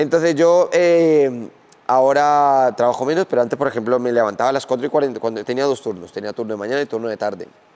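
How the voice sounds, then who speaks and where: Talking at a fairly quick pace, a man with a plain, everyday voice and a medium pitch uses ordinary pitch variation. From Spain. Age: 20s. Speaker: professional MMA fighter. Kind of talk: interview. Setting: gym.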